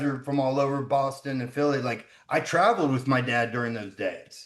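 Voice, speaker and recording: In an American accent, a man with an unremarkable speaking voice and a fairly high pitch talks at a moderate pace. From US South, Georgia. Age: 40s. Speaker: son of a famous wrestler. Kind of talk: interview.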